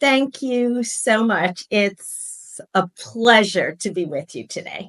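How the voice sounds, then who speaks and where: A woman at a very slow pace, fairly high in pitch, with lively intonation and big swings in loudness. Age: 60s. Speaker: podcast guest, former professor and artist. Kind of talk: interview.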